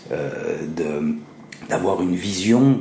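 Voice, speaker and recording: A man speaks with lively intonation. There is audible room echo and noticeable background noise. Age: 40s. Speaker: improv actor. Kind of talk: interview. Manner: hesitant, many fillers.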